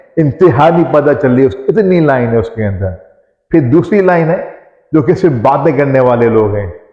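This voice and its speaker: With an unremarkable speaking voice, a man talks at a fairly high pitch and lively intonation. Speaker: Islamic scholar and motivational speaker. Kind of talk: motivational speech.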